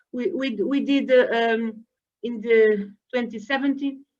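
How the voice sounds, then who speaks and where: At a fairly slow pace, a woman with a non-native accent speaks at a high pitch. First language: Portuguese. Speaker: environmental education manager, former teacher. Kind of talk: webinar presentation. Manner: hesitant, many fillers.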